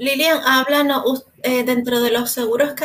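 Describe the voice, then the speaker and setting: A woman is speaking. Her voice has a somewhat breathy quality. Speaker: real estate agent, podcast co-host. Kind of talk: casual chat. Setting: live stream.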